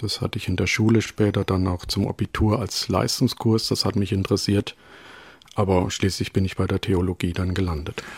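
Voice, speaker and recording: Somewhat breathy, a man with a fairly low pitch talks at a moderate pace in fairly even intonation, the sound dry and close with no echo. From Rhön, Germany. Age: 40s. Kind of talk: interview. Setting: remote call from home.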